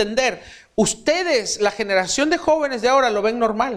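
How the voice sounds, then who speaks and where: This man's voice sits extremely high, with lively intonation. He talks at a moderate pace. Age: 40s. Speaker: pastor. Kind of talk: sermon.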